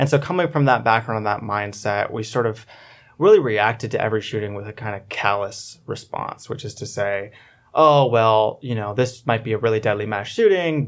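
This man has a normal speaking voice at medium pitch, with ordinary pitch variation, a fairly quick pace and a very clean recording with a silent background. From Orlando, Florida. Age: 20s. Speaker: campaign manager. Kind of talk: radio panel discussion. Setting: studio.

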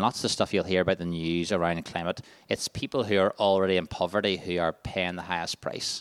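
On a very clean recording with a silent background and a dry, close sound with no echo, a man with a Northern Irish accent speaks at a fairly quick pace. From Northern Ireland, County Armagh. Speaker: charity staff workshop leader. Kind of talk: workshop presentation. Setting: stage with audience.

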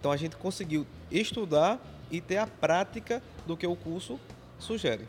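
A man talks at a high pitch with lively intonation. Long pauses come often. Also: moderate pace. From Pernambuco interior, Brazil. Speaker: technical school teacher. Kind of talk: interview.

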